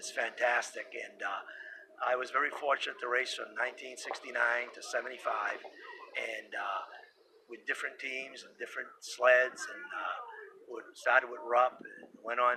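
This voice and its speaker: A man's voice with big swings in loudness over noticeable background noise. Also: moderate pace. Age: 60s. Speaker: retired snowmobile racer. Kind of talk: interview. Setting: induction ceremony event.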